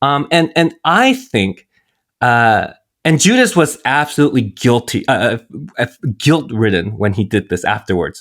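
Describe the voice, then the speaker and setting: In a very clean recording with a silent background, a man uses an unremarkable speaking voice at a medium pitch, a fairly slow pace and lively intonation. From US, Korean-American family. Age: 40s. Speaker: priest. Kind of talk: casual chat.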